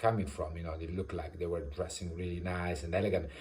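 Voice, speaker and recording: With audible room echo, a man in an Italian accent speaks at a very deep, low pitch in a somewhat breathy voice. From Italy. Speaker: vlogger. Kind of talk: personal storytelling. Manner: halting, many fillers.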